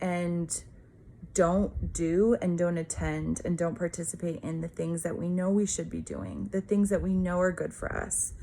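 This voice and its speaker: A woman speaks in a fairly low pitch with a dark, mellow tone and ordinary pitch variation. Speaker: pastor. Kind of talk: devotional talk. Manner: casual, filler-heavy.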